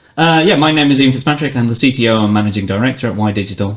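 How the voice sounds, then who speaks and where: With a British accent, the speaker shows ordinary pitch variation. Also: man. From Britain. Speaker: technology executive. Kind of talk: podcast interview.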